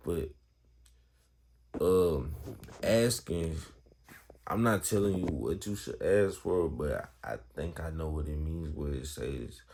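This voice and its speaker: A man talks at a very slow pace in a very deep, low pitch, with long, frequent pauses. His tone is dark and mellow, and his pitch varies in an ordinary way. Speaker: Bible vlogger. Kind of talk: casual Bible talk. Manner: casual, halting.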